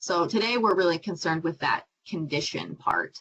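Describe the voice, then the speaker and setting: Moderately paced, this is a plain, everyday voice with ordinary pitch variation. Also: woman. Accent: American. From US Midwest, Iowa. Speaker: marine scientist, PhD student. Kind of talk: presentation to young audience. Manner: casual, many fillers.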